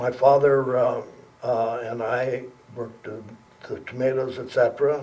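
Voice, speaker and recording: In an American accent, a man speaks at a medium pitch with monotone, flat intonation and big swings in loudness. His pace is moderate, broken by long, frequent pauses. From California, Lodi area. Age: 80s+. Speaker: winery founder and farmer. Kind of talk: oral history interview. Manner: halting.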